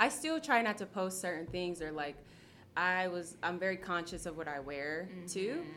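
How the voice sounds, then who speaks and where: A woman with a fairly low pitch uses a normal speaking voice, talking at a moderate pace with ordinary pitch variation. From Ohio, Akron. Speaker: yoga studio owner and teacher. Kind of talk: casual chat.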